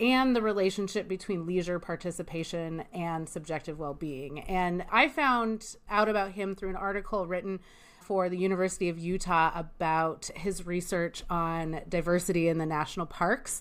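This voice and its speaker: A woman speaks in an American accent at a fairly low pitch. Her pace is moderate and her pitch varies in an ordinary way. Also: very clean recording, silent background. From US Pacific Northwest, Spokane, Washington. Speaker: podcast host. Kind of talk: interview.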